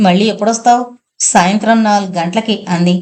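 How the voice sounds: A natural reading voice is what the clip presents. Quiet fills the background.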